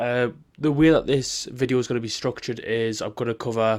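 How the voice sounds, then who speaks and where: In a very clean recording with a silent background, a man speaks with an English accent. His pitch is medium, his pace moderate and his intonation fairly even. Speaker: football content creator. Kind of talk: casual football analysis vlog.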